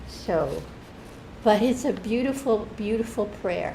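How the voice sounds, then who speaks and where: A woman with a fairly high pitch and ordinary pitch variation talks at a moderate pace, with noticeable background noise and audible room echo. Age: 70s. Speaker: church member. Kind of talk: testimony. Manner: halting, with many restarts.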